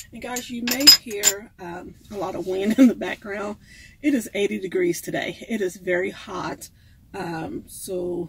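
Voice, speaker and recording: A woman talks at a fairly slow pace, with big swings in loudness and ordinary pitch variation. Noticeable background noise is present. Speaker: van life vlogger. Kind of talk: casual cooking vlog chat. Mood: relaxed, slightly amused. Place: kitchen. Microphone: phone near.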